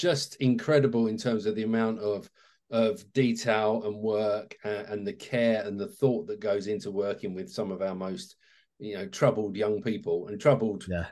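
Fairly low in pitch, a man speaks with fairly even intonation and a dark, mellow tone. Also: moderate pace, quiet background. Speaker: remote podcast guest. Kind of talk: interview answer. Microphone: video call.

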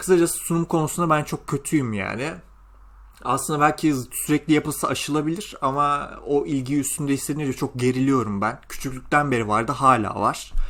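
Bright and sharp in tone, a man's fairly high voice moves at a moderate pace with ordinary pitch variation on a very clean recording with a silent background. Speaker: gaming youtuber and graduate student. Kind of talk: casual vlog monologue. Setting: home recording at night, windows closed.

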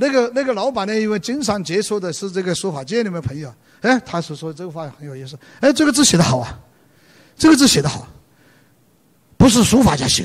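Talking very fast yet with long, frequent pauses, a man with a high voice swings very widely in pitch and shows big shifts in loudness. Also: quiet background. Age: 70s. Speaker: calligrapher and retired book editor; lecturer. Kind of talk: lecture. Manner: hesitant, many fillers. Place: stage. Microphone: handheld.

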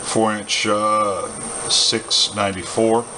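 A man's fairly low voice at a slow pace, with little pitch movement and clear background noise

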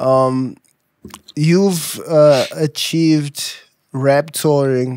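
At a very slow pace with long, frequent pauses and fairly even intonation, the voice sounds dry with no echo against a quiet background. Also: man, fairly high pitch for a man. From South Africa. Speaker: podcast host. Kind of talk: casual interview chat. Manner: playful, joking. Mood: playful, relaxed. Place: studio. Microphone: studio mic.

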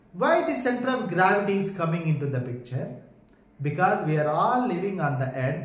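With audible echo in the room, a man talks at an average tempo. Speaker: physics teacher. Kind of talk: lecture. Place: home room.

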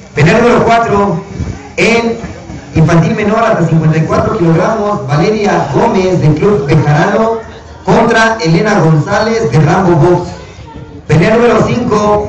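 A man speaks very slowly with ordinary pitch variation, with noticeable background noise and audible room echo around him. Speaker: event announcer. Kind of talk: announcement reading fight card. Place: open country.

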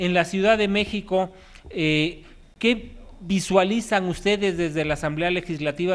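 A man with a high pitch talks fairly slowly, using ordinary pitch variation. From Mexico. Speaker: news show host. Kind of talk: phone interview. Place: studio. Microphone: handheld.

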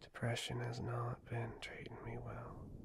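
Whispering in a gentle tone, a man speaks at a fairly slow pace. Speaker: ASMR creator. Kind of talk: ASMR girlfriend roleplay, soft talk to listener. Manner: soft-spoken, gentle, caring, rambling.

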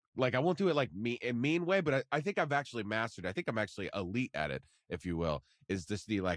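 Against a quiet background, a man with a medium pitch and vocal fry talks at a very fast pace with very wide pitch swings. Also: dry, close sound with no echo. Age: 20s. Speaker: podcast producer. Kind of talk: casual chat.

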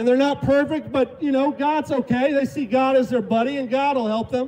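Fairly quick, fairly even speech with noticeable background noise. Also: man, extremely high pitch for a man. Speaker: street preacher. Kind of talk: open-air street preaching sermon.

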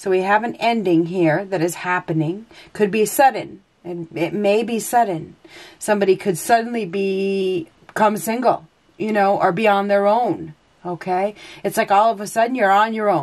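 Against a quiet background, a woman talks at a moderate pace with ordinary pitch variation. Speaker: tarot reader. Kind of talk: tarot reading commentary.

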